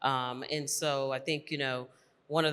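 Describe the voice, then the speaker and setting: With a Southern US accent, a woman speaks in a bright, sharp tone. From US South, North Carolina. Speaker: corporate executive and panelist. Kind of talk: conference panel discussion. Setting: stage with audience.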